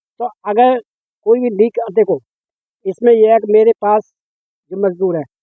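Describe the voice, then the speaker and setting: A man with a high-pitched voice and fairly even intonation talks with long, frequent pauses. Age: 50s. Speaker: retired teacher turned farmer. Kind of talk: interview.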